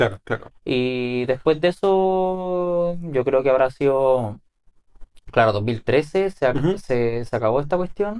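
A man with a fairly high pitch, a very slow pace, lively intonation and a Chilean accent. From Chile, Ovalle (Coquimbo region). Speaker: YouTuber and musician. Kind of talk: casual interview.

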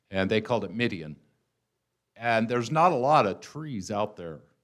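In an ordinary speaking voice, a man talks at a fairly slow pace with a fairly low pitch and lively intonation. The recording is very clean, with a silent background. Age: 60s. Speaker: guest preacher. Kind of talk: sermon.

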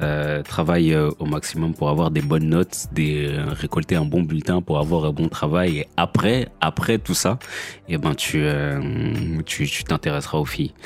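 A man speaks with a very deep, low pitch and fairly even intonation at a fairly slow pace. Noticeable background noise runs under his voice. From France. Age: 30s. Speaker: podcaster and father. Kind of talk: personal monologue. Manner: halting with many repetitions.

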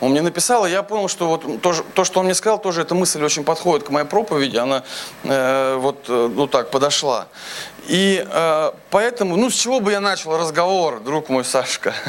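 Over noticeable background noise, a man with a high pitch speaks at a moderate pace, his intonation lively and his loudness very even. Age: 30s. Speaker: pastor. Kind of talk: sermon. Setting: church.

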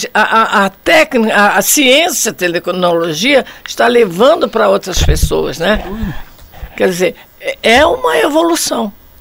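Noticeable background noise sits behind a woman speaking at a fairly slow pace. Her fairly high voice moves through very wide pitch swings. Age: 80s+. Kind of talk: casual discussion.

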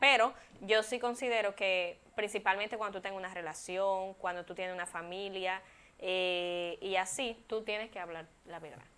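At a moderate pace, a woman talks in a plain, everyday voice of medium pitch and fairly even intonation. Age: 20s. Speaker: model and communicator, former beauty queen. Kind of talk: casual chat.

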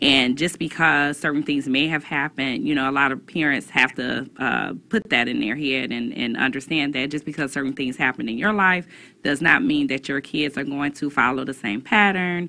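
With a very deep, low pitch and a bright, sharp tone, a woman talks at a moderate pace with ordinary pitch variation. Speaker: parenting radio show co-host. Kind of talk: call-in radio talk show.

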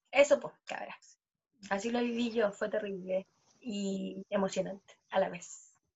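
At a fairly slow pace, a woman speaks with medium pitch and a somewhat breathy voice. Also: fairly even intonation, big swings in loudness. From Chile. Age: 20s. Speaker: podcast co-host. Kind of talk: casual chat. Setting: video call.

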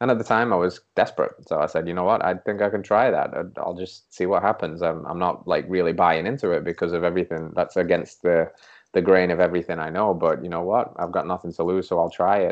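Very deep and low in pitch, a man in an English accent speaks at a very fast pace with fairly even intonation. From England. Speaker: holistic health coach. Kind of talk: interview conversation.

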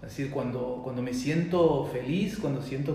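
Lively intonation carries this moderate-paced voice through audible room echo. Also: man. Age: 40s. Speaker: discussion group moderator. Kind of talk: casual chat.

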